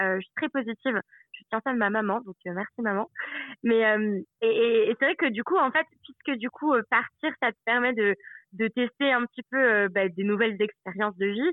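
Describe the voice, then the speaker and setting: A woman talks at a moderate pace in a plain, everyday voice, her pitch fairly high with ordinary variation. Her loudness swings widely. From Savoie, France. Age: 30s. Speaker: expatriate traveller. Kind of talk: interview.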